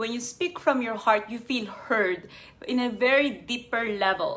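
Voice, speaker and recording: Speaking with a non-native accent, a woman has a high pitch and ordinary pitch variation. She keeps a moderate pace. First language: not English. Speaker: life coach. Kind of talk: live stream talk.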